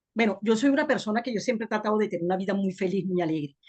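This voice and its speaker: Very fast pace and a somewhat breathy voice. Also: woman. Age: 60s. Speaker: webinar participant. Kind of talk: personal testimony.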